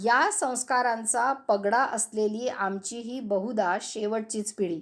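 In a very clean recording with a silent background, a woman speaks in a high pitch. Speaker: homemaker and radio enthusiast. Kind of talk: scripted monologue addressed to radio. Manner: expressive.

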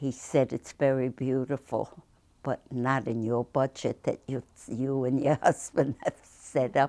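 A woman with a New York accent speaks at a very slow pace in a very deep, low pitch against a quiet background. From Brooklyn, New York. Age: 80s+. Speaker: artist, painter and sculptor. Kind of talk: interview answer. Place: home room.

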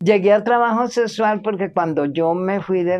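Her intonation is lively. The woman talks at a fairly slow speed. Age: 70s. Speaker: interviewee sharing life story; interviewee. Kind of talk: testimony. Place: garden.

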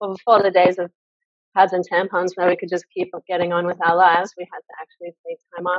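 A woman's very fast, monotone, flat speech in an Australian accent, with big swings in loudness, a dry sound with no echo and a quiet background. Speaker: women's circle founder; interview guest. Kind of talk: interview. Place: home room. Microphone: video call.

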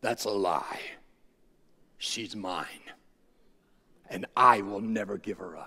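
Using a put-on character voice, a man speaks raspily at a fairly low pitch and a fairly slow pace, with long, frequent pauses. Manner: menacing, possessive.

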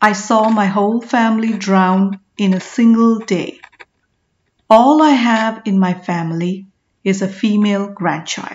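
A somewhat breathy woman at medium pitch and a fairly slow pace, with ordinary pitch variation. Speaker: audiobook narrator. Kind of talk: audiobook narration of a historical novel, with character dialogue voiced. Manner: measured, storytelling pace.

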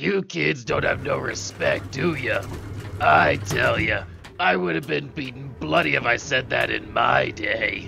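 Over clear background noise, a man puts on a raspy character voice and speaks at a fairly slow pace. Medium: cartoon. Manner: cranky, scolding, folksy.

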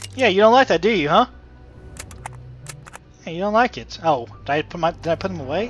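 With music playing behind him, a man's intonation is lively. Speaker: gamer. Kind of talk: casual let's play commentary.

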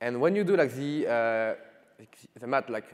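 Against a quiet background, a man talks at a moderate pace. His intonation is lively. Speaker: conference presenter. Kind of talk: lecture. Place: stage. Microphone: podium.

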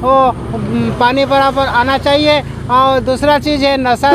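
The sound is dry, with no echo. Background noise is noticeable. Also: man. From Odisha, India. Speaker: retired police officer, long-distance walker. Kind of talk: interview answer. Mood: earnest, appealing. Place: street. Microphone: phone near.

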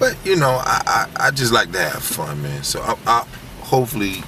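The speech moves at a moderate pace amid noticeable background noise, in a dry sound with no echo. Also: man. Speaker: comedian. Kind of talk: casual interview talk. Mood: relaxed, playful. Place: car.

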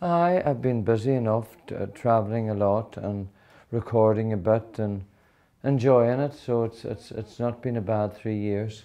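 This man has a Donegal Irish accent. His pitch varies in an ordinary way. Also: moderate pace. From Ireland (County Donegal). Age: 50s. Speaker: country singer. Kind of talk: interview answer. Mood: warm, friendly, chatty. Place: home room. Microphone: lapel.

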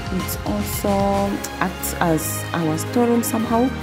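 A woman speaks with clear music in the background. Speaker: home vlogger. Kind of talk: casual vlog chat. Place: home room.

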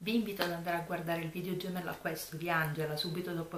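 A soft-spoken woman talks at a fairly low pitch. Audible room echo and light background noise are present. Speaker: YouTuber, planner and craft vlogger; YouTuber, craft vlogger. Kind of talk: casual vlog chat. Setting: home room at night. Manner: soft-spoken, low voice. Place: home room. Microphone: camera far.

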